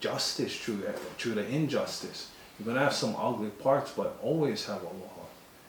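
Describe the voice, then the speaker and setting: Ordinary pitch variation with audible room echo and noticeable background noise. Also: man. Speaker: Hawaiian sovereignty group member. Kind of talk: interview.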